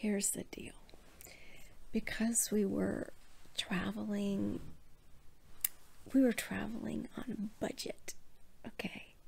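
Soft-spoken and very slow, a woman talks with long, frequent pauses. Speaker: professional cuddler, founder of a cuddle business. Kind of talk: bedtime story told from personal memory. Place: home room. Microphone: phone near.

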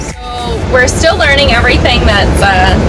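A woman talks at a moderate pace. There is music in the background. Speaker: RV travel vlogger. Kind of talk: casual vlog chat. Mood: cheerful, excited. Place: car. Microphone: phone near.

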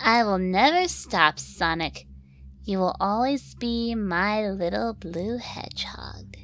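A female-sounding put-on character voice at medium pitch talks at a fairly slow pace. Background noise is clearly audible. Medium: fan dub. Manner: flirty, teasing, smug.

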